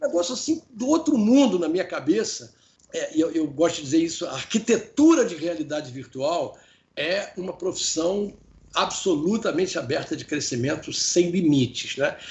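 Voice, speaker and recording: This man's high voice swings very widely in pitch while he keeps a moderate pace. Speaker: professor and business consultant. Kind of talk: interview. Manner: halting, many repetitions.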